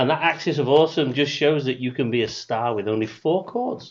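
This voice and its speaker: This man's intonation is lively as he talks. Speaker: quiz host. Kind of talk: online quiz hosting. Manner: loud; hesitant, many fillers.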